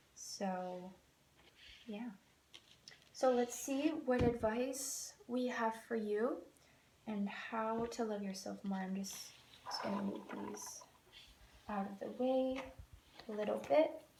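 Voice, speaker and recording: A woman with a fairly high pitch speaks very slowly. Room echo is audible, and there is noticeable background noise. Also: ordinary pitch variation. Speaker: tarot card reader. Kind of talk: tarot reading. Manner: halting, many fillers.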